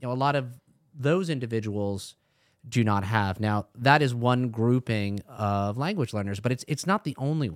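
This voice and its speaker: A man with a normal speaking voice at a moderate pace, ordinary pitch variation, and a dry, close sound with no echo in a very clean recording with a silent background. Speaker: assistant principal.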